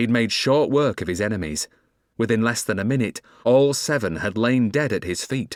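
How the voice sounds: A natural reading voice is heard with a quiet background behind it.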